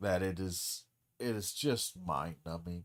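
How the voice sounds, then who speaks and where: A man speaks at a very deep, low pitch. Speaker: streamer and former English professor. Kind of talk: casual livestream chat while gaming. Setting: livestream.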